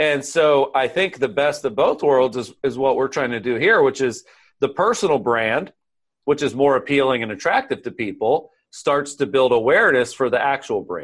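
A man with an American accent talks at a moderate pace in a plain, everyday voice. His pitch is fairly high with ordinary variation, over a quiet background. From US South, central Florida. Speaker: author and sales coach. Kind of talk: interview.

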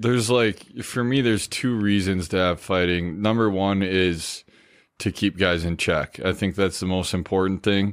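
In a very clean recording with a silent background, a man with an American accent speaks at a very deep, low pitch. His loudness is very even, his pace moderate and his pitch variation ordinary. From Minnesota, Stillwater. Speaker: former hockey player. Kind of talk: casual chat.

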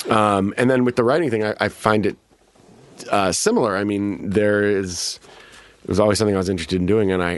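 A man speaks very fast with an American accent, at a fairly low pitch. His intonation stays fairly even, and there is noticeable background noise. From Chicago, US Midwest. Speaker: actor. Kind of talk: casual chat. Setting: studio.

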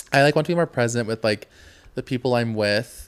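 This man has an ordinary speaking voice, talking fairly quickly with ordinary pitch variation. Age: 20s. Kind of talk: casual chat. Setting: studio, filmed on camera.

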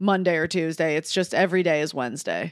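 With an American accent, a woman speaks in a plain, everyday voice at a fairly low pitch. She talks at a fairly quick pace on a very clean recording with a silent background. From Detroit. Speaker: comedian. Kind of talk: casual chat. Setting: hotel room.

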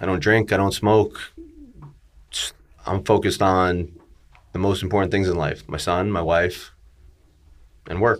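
Over a silent background in a very clean recording, a man with a very deep, low pitch talks at a moderate pace with ordinary pitch variation. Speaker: real estate broker and podcaster. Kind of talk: casual interview storytelling.

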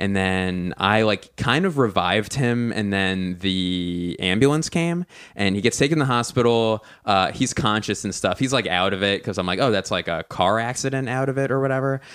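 Lively intonation from a man with an American accent, fairly low pitch and a moderate pace, on a very clean recording with a silent background. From US Northeast (Philadelphia). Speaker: stand-up comedian. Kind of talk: casual chat. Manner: voice rises higher when uncomfortable.

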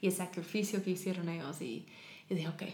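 Medium-pitched woman's voice with audible room echo and noticeable background noise. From US South, Tennessee. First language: English (speaking Spanish). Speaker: charity founder working with women. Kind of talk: interview.

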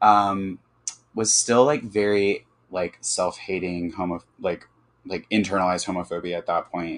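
A man in a plain, everyday voice with an American accent, fairly low pitch, fairly even intonation, moderate pace, and big swings in loudness. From US South, Birmingham, Alabama. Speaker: architect and interior designer. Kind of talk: casual chat.

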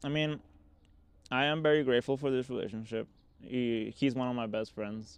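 A man with a Spanish accent talks at a moderate pace, leaving long, frequent pauses. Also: medium pitch for a man, ordinary pitch variation. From Mexico (Mexico City area, Cabo San Lucas). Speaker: visionary artist and shamanic practitioner. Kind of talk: casual chat. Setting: at home.

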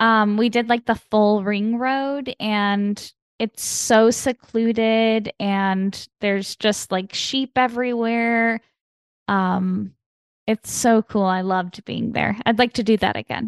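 A woman speaks very slowly in a flat monotone at a fairly high pitch, the sound dry and close with no echo, over a quiet background. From US Midwest, Chicago. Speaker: comedian and actor. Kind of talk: casual chat.

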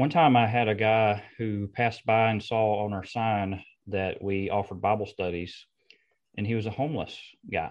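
A man with an ordinary speaking voice talks at a moderate pace, fairly low in pitch, with fairly even intonation. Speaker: preacher and podcast host.

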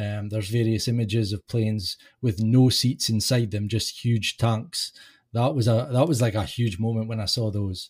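A man's somewhat breathy voice, medium in pitch, moves at a moderate pace with fairly even intonation. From UK. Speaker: podcast host, guest. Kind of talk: casual chat. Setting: remote call.

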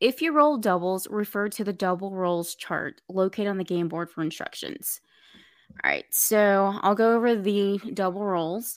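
A woman with an ordinary speaking voice, medium-pitched, at a moderate pace with ordinary pitch variation, in a very clean recording with a silent background. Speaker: game host.

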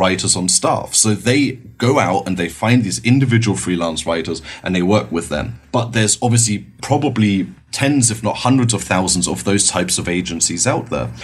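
At a moderate pace, a man talks in a fairly low voice with vocal fry and very wide pitch swings. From Germany, Berlin. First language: German. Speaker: marketing agency director. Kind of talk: podcast interview.

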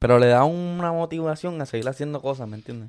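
A man speaks with ordinary pitch variation. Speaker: podcast co-host, content creator. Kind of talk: casual chat. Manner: animated.

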